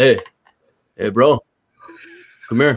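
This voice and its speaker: A raspy, put-on character voice from a man. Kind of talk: casual, bro talk. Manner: laid-back.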